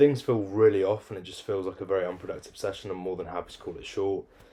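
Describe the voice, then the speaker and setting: A man speaks very fast with a British accent. The recording is very clean, with a silent background. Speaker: fitness coach and vlogger. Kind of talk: casual vlog monologue. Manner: deadpan.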